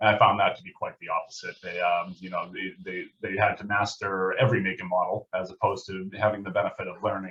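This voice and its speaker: A man talks at a very fast pace. He has a strong Massachusetts accent. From Massachusetts (southeastern, New England). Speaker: auto service manager. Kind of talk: podcast interview.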